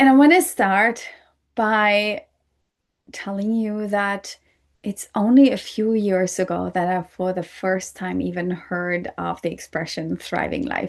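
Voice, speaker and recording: Speaking at a fairly slow pace with a non-native accent, a woman uses a medium pitch and ordinary pitch variation against a quiet background. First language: not English. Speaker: podcast host. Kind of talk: solo podcast talk.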